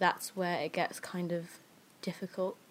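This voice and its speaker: With an English accent, a woman talks at a moderate pace in a medium pitch. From England, Filipino family. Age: young. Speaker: podcast co-host. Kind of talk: casual chat.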